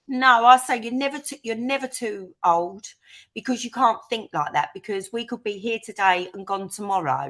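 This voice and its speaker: In a Cockney accent, a woman speaks in an animated tone at a moderate pace, her fairly high pitch showing ordinary variation while her loudness swings widely. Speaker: interviewee sharing life story. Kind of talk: interview.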